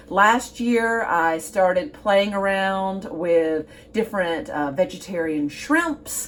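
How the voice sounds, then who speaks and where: A woman with a Southern US accent speaks in a warm tone at medium pitch, with very wide pitch swings. Noticeable background noise is present. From US Gulf Coast. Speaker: cooking show host. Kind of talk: cooking tutorial. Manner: warm, chatty.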